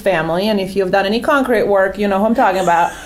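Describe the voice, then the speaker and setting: A woman rattles along at a very fast pace with noticeable background noise in the mix. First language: not English. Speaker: real estate agent. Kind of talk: panel discussion. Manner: animated.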